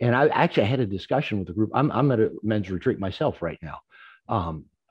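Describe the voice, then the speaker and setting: A man speaks at a very fast pace. His voice is fairly low in pitch. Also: lively intonation. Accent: American. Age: 60s. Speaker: therapist and author. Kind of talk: conference talk. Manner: halting, repeats words.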